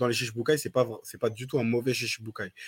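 Using an ordinary speaking voice, a man speaks at medium pitch with fairly even intonation. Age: 20s. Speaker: podcast co-host. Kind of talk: casual chat.

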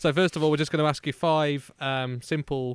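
In a very clean recording with a silent background, a man with an English accent talks at a fairly quick pace using fairly even intonation. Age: 20s. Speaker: podcast host. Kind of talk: casual chat. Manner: hesitant, lots of fillers.

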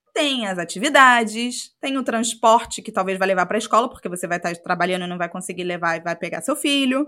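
Bright and sharp in tone, the voice moves at a fairly quick pace with lively intonation on a very clean recording with a silent background. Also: woman. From Rio de Janeiro state, Brazil (Macaé). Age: 30s. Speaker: podcast co-host. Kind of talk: casual chat.

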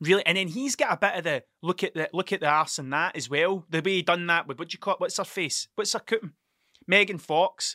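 Fairly quick delivery in a Scottish accent, with a bright, sharp tone and ordinary pitch variation, on a dry, close, very clean recording with no echo and a silent background. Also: man, high pitch for a man. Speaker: podcast host. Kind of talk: casual solo monologue, rambling. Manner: stuttering, halting, self-interrupting; profane, self-deprecating.

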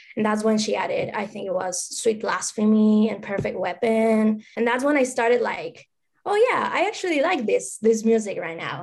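This woman speaks with an Argentine accent at a moderate pace. Her pitch is fairly high, and the recording is very clean with a silent background. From Argentina. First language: Spanish. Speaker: music fan. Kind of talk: casual interview.

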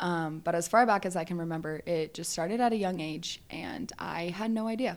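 With an American accent, a plain, everyday voice speaks at a moderate pace. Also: woman. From Southern California. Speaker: guest sharing her mental health story. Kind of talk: testimony.

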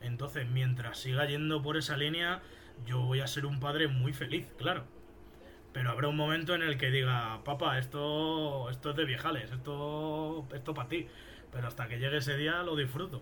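In a Madrid accent, a man speaks at a moderate pace with a fairly high pitch and fairly even intonation, with audible room echo. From Spain, Fuenlabrada near Madrid. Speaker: rapper. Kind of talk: casual interview.

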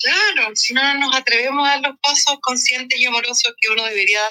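A woman talks at a very fast pace with ordinary pitch variation, her voice dry and close with no echo, music playing in the background. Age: 40s. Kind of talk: casual chat.

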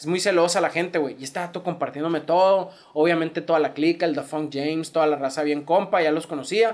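Speaking at a fairly quick pace with fairly even intonation, a man with a high pitch has a northern Mexican accent. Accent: northern Mexican (Sonoran) Spanish. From Mexico, Sonora (Hermosillo). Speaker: rapper. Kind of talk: casual chat.

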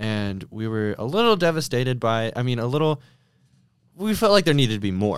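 A man with a normal speaking voice, medium in pitch, speaks at a fairly quick pace with lively intonation in a very clean recording with a silent background. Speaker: student, podcast guest. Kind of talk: casual chat.

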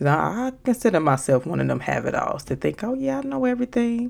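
A woman's animated tone with very wide pitch swings. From Chicago, South Side. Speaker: podcast host. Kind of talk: casual monologue.

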